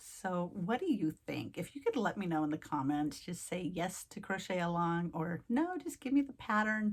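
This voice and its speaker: A woman talks at a fairly quick pace with hardly any pauses and lively intonation. Her voice is somewhat breathy. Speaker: craft youtuber. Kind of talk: casual vlog chat to viewers. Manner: fast.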